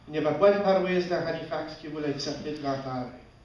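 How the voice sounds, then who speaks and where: A man's fairly high voice with fairly even intonation, light background noise and audible room echo. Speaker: storyteller. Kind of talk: live storytelling performance. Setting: live audience, festival stage. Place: stage. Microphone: camera far.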